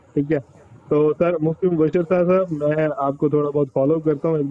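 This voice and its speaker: Recorded with a dry sound and no echo, a man talks at a moderate pace in a fairly high voice. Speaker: PhD student caller. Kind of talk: call-in question. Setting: call into online broadcast. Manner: halting. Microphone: video call.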